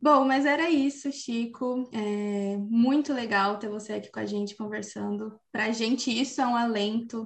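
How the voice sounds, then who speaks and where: This is an ordinary speaking voice with ordinary pitch variation. It moves at a moderate pace with hardly any pauses. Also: woman, fairly high pitch for a woman. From interior of São Paulo state, Brazil. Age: 20s. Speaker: podcast host, journalist. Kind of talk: scripted narration; casual interview.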